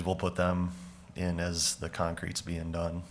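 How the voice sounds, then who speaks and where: With an Upper Midwest accent, this man has a very deep, low pitch and a bright, sharp tone. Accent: Upper Midwest (Minnesota). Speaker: county parks and forestry staff presenting to board. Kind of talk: public meeting presentation. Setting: county board meeting room. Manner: loud.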